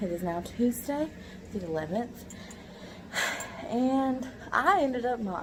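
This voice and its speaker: A woman with a Southern US accent and lively intonation, with audible room echo and noticeable background noise. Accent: southern American. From Kentucky, US South. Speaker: middle school math teacher, vlogger. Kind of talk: casual vlog. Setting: in a car.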